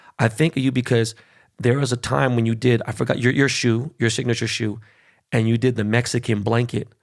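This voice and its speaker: In a Californian accent, a man speaks at a medium pitch and a fairly quick pace with an animated tone. His loudness stays very even, and the recording is very clean with a silent background. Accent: Californian American English. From Los Angeles, Koreatown. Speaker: podcast host. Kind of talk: casual interview chat.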